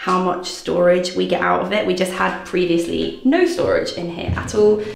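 A woman speaks at a moderate pace amid audible room echo, with faint music in the background. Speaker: lifestyle vlogger. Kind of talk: casual room tour chat. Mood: cheerful, upbeat. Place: bathroom. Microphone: phone near.

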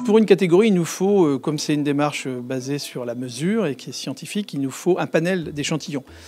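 A man at a fairly quick pace, with ordinary pitch variation, a dry sound with no echo, and faint music in the background. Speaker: interviewee. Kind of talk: interview answer. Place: office. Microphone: handheld.

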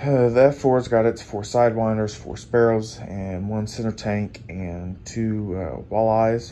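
Speaking very slowly with hardly any pauses, a man uses an American accent and fairly even intonation. His loudness swings a lot, and there is light background noise. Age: 20s. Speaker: hobbyist builder and YouTuber. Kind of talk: show-and-tell video tutorial. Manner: casual with frequent fillers. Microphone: phone near.

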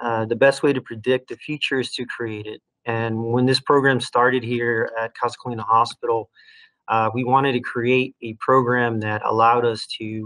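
Quiet background behind a man speaking at a moderate pace. His intonation is monotone and flat. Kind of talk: lecture. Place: home room. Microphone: webcam.

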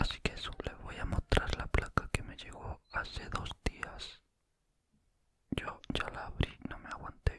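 A man whispers at a fairly slow pace. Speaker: ASMR creator. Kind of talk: casual talk to camera, ASMR whisper chat. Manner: whispered, soft-spoken. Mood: happy, pleased. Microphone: studio mic.

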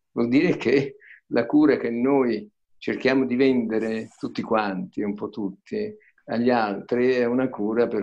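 In a quiet background, a man speaks at a very slow pace. His intonation is fairly even. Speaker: retired public prosecutor. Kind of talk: online panel discussion. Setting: video call. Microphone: video call.

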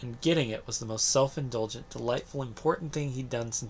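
The speaker uses a natural reading voice, its pitch moving with ordinary variation.

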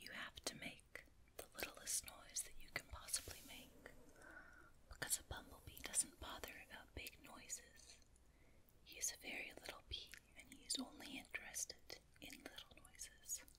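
Whispering at a moderate pace. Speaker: ASMR storyteller. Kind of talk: ASMR bedtime story reading. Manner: soft-spoken, whispery. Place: home room.

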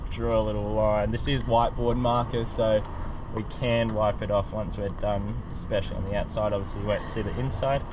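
A man's voice comes through dry, with no echo, over noticeable background noise. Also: fairly quick pace. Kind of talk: tutorial. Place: street.

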